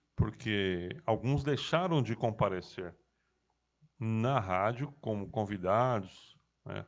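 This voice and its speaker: A man with a fairly low pitch and ordinary pitch variation, at a very slow pace with long, frequent pauses, over a quiet background. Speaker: radio host. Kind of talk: casual chat.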